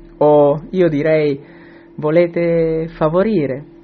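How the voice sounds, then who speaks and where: A man talks very slowly while music plays in the background. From southern Italy, Calabria (Tropea). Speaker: Italian teacher. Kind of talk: recorded audio comment.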